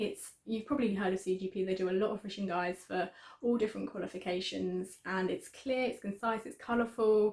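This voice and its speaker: A woman talks at a fairly quick pace with an English accent. Her pitch is medium and her intonation fairly even. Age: 20s. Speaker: student YouTuber. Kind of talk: tutorial. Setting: student room at home.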